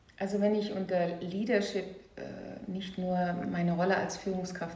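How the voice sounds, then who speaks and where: A woman talks fairly slowly at a medium pitch, her intonation flat and monotone. Noticeable background noise and audible room echo fill the recording. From Saarland, Germany. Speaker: leadership coach and trainer. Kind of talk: interview conversation.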